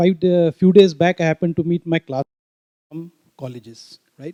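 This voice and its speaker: This man's voice sits high for a man and has a dark, mellow tone. He speaks at a moderate pace, and the sound is dry and close with no echo. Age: 60s. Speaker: audience member, trekker and trainer. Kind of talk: audience comment at panel.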